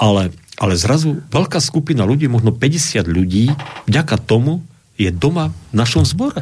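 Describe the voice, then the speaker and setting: A man speaks at a medium pitch and a moderate pace, sounding somewhat breathy. His voice makes very wide pitch swings while its loudness stays very even. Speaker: Lutheran pastor. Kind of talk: radio talk show interview. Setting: radio studio.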